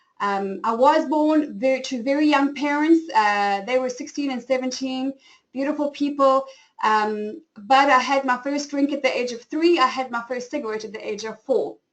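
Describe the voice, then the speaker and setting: A woman's high-pitched voice with a South African accent at a moderate pace. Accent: flat South African. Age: 40s. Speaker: style coach and webinar host. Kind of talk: webinar presentation. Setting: online webinar.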